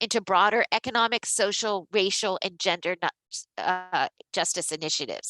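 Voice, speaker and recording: Against a quiet background with a dry, close sound and no echo, a woman with an American accent speaks in a bright, sharp tone at a moderate pace. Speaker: labor rights advocate, webinar panelist. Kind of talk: panel discussion presentation. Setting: online webinar.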